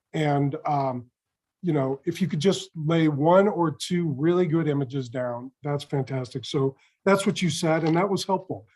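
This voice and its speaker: This is an ordinary speaking voice. The man's pitch sits fairly high, with ordinary pitch variation. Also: moderate pace. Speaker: mock trial judge. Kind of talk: spoken feedback.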